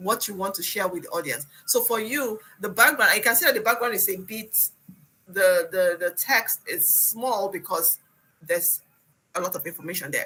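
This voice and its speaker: This woman has a non-native accent and a medium-pitched voice. She talks at a fairly quick pace. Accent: has a foreign. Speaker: instructor. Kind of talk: one-on-one presentation coaching. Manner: fast; repetitive, halting restarts.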